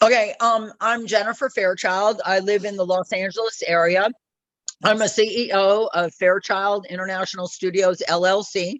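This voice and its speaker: With a plain, everyday voice, a woman speaks at a moderate pace and a medium pitch, her intonation fairly even. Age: 60s. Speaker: attendee, business owner. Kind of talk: self-introduction.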